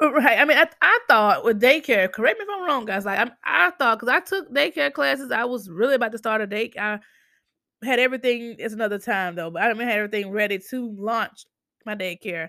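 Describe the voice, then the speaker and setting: Speaking in an ordinary speaking voice with an American accent, a woman talks fairly quickly at a fairly high pitch, her intonation lively. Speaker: podcast host. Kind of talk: casual chat.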